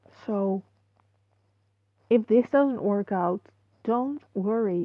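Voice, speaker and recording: The speaker has a non-native accent and talks at a very slow pace. The pitch swings very widely. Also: woman. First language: not English. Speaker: online video creator. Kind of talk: casual commentary. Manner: halting. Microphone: muffled microphone.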